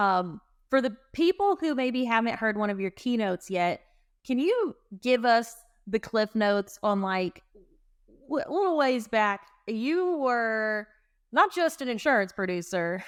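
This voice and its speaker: With an American accent, a woman speaks at a fairly slow pace and a fairly high pitch, her very wide pitch swings broken by long, frequent pauses in a very clean recording with a silent background. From US South, North Carolina (Winston-Salem). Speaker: podcast host. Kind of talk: casual interview.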